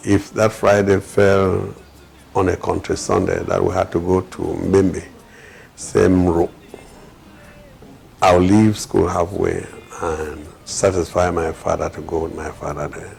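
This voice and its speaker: Over noticeable background noise, a man with a very deep, low pitch and fairly even intonation speaks with long, frequent pauses. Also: fairly slow pace. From Cameroon, North West region. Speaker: politician and community developer. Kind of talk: interview testimony. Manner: hesitant with many fillers.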